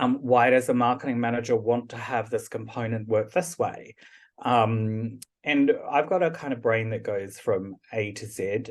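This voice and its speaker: A man with a New Zealand accent, medium pitch, ordinary pitch variation and a fairly slow pace. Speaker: product and service manager. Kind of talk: podcast interview.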